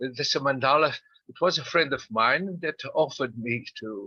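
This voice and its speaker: A man's bright, sharp tone and lively intonation at a moderate pace, in a dry, close sound with no echo. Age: 70s. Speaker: psychiatrist. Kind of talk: interview. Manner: halting, many fillers.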